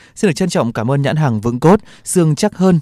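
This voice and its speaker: A man at a very fast pace with lively intonation and a dark, mellow tone, the sound dry with no echo and the background quiet. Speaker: radio host. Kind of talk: radio health show hosting. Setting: studio. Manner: formal. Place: studio.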